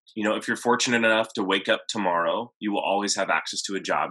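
Fairly low in pitch, this man's voice has a bright, sharp tone and fairly even intonation. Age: 30s. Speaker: meal prep business owner. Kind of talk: interview.

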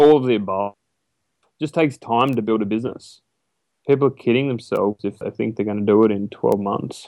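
A man speaks at a fairly quick pace, medium in pitch with ordinary pitch variation. His tone is dark and mellow, and the sound is dry and close with no echo. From Australia, rural New South Wales. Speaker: online business broker. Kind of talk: interview.

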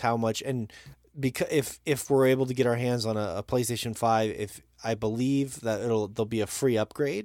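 This very clean recording with a silent background has a man with an American accent speaking in a dark, mellow tone. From Montana. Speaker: podcast host. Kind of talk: casual chat. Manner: fast.

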